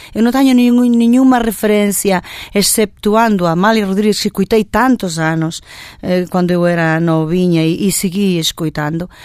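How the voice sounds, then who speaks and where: A woman uses a normal speaking voice at medium pitch and a moderate pace, with ordinary pitch variation and very even loudness. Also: very clean recording, silent background. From Galicia, Spain (born in Porto, moved at 10). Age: 50s. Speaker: fado singer. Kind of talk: radio interview.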